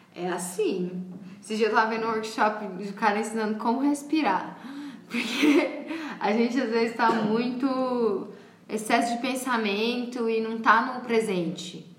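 The speaker talks at a fairly slow pace with ordinary pitch variation. Audible room echo and noticeable background noise fill the recording. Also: woman, fairly high pitch for a woman. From Paraguay. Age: 20s. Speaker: artist and makeup artist. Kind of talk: casual interview chat. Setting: at home.

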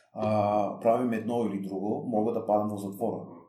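A man's fairly low, dark, mellow voice, monotone and flat, with audible room echo. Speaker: former prisoner and prisoners' rights activist. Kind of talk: interview. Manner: halting, many repetitions and fillers.

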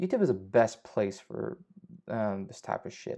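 Against a quiet background, the speaker's tone comes across as dark and mellow. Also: man. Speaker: fitness podcaster. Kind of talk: solo podcast monologue. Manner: casual, friendly, halting with fillers.

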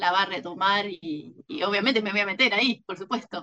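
Talking at a moderate pace, a woman has a medium pitch, ordinary pitch variation and a bright, sharp tone. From Argentina, Mar del Plata. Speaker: novelist. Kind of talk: interview.

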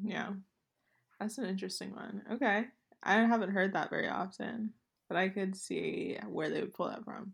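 A woman of medium pitch speaks with vocal fry and fairly even intonation. Long, frequent pauses break up her speech. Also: moderate pace. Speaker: podcast co-host. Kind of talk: casual chat.

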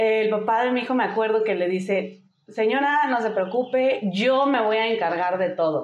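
A woman with an unremarkable speaking voice talks at a moderate pace, using lively intonation and a fairly high pitch. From US, Denver, Colorado. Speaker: single mother and motorcyclist. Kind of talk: casual interview.

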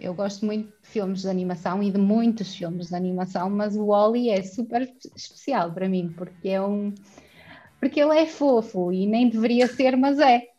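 A woman with a European Portuguese accent speaks at a moderate pace in a dark, mellow, somewhat breathy tone, her medium pitch moving with ordinary variation while her loudness swings widely. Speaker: podcast guest. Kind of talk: casual chat.

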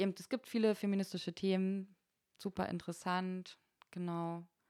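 A woman with an ordinary speaking voice of medium pitch talks at a moderate pace with fairly even intonation and big swings in loudness. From eastern Germany, Berlin and Frankfurt (Oder). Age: 30s. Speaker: bar and club manager. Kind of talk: casual chat.

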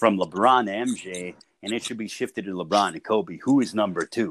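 A man with an American accent speaks in a plain, everyday voice at fairly low pitch and a moderate pace. The sound is dry and close with no echo, and the recording is very clean with a silent background. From Chicago. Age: 30s. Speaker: boxing play-by-play announcer. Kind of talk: casual chat. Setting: call.

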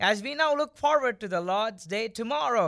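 Raised and projected, a man's high voice with an Indian accent sounds bright and sharp, moving with lively intonation on a very clean recording with a silent background. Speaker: podcast co-host. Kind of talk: casual chat. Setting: studio.

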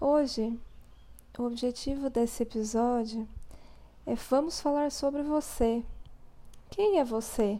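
Speaking at a very slow pace with long, frequent pauses, this voice has a dark, mellow tone, very even loudness, and ordinary pitch variation. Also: woman, high pitch for a woman. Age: 20s. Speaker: therapist and podcast host. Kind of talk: spiritual reflection monologue.

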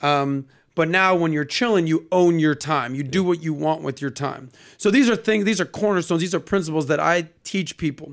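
Speaking fairly quickly with an American accent, this is an unremarkable speaking voice on a very clean recording with a silent background. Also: man, fairly high pitch for a man, ordinary pitch variation. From Miami, Florida. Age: 40s. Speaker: podcast host. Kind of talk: casual chat. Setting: studio.

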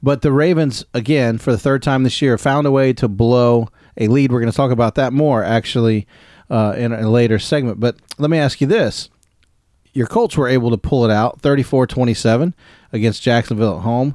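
A medium-pitched man with an American accent has an ordinary speaking voice and ordinary pitch variation. He talks at a fairly quick pace with very even loudness, on a very clean recording with a silent background. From US mid-Atlantic. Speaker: sports podcast host. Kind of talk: casual chat.

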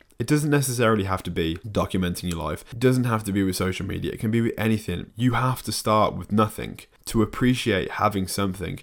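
In a very clean recording with a silent background, a man with a British accent speaks very fast, his fairly low pitch showing ordinary variation. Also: hardly any pauses. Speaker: fitness YouTuber and podcast host. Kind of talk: solo podcast monologue. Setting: home desk with camera and microphone. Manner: casual, relaxed.

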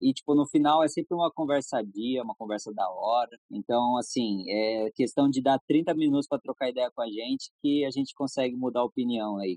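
A man at medium pitch in a plain, everyday voice, moderate pace, ordinary pitch variation and hardly any pauses. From Brazil, São Paulo state (Jacareí). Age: 20s. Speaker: skateboard brand manager and skater. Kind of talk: casual interview chat.

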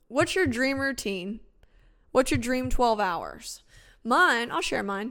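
A bright, sharp voice in an American accent, lively intonation at a very slow pace, very clean recording with a silent background. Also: woman, high pitch for a woman. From upstate New York. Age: 20s. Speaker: radio talk show host. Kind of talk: casual talk radio monologue.

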